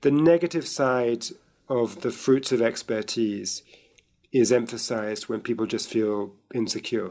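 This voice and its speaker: A man with a British accent talks at a fairly slow pace in a dark, mellow tone with ordinary pitch variation against a quiet background. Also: medium pitch for a man. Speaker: author and journalist. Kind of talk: interview discussion.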